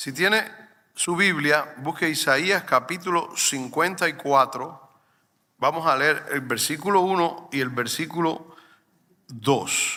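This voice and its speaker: Speaking very slowly, a man uses a fairly high, bright, sharp voice with ordinary pitch variation. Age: 60s. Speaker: pastor. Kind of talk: sermon.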